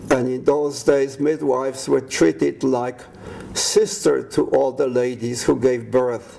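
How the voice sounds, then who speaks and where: This man talks at a fairly slow pace and a medium pitch with ordinary pitch variation. Noticeable background noise can be heard. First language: Polish. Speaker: war veteran. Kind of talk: life story testimony.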